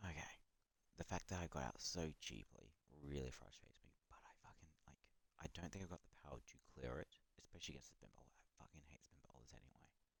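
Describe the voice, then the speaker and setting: A whisper at a very fast pace. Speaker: gaming streamer. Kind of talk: live gameplay commentary. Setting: late night live stream. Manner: whispering.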